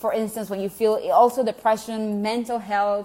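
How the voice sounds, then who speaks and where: A woman speaks with a Venezuelan accent and fairly even intonation. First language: Spanish. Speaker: health coach vlogger. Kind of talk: casual vlog talk to viewers. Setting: at home.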